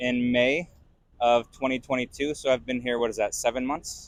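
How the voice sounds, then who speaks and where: A man's fairly high, ordinary speaking voice with an American accent, at a moderate pace. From US, Las Vegas. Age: 30s. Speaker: foreign resident interviewee. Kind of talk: street interview.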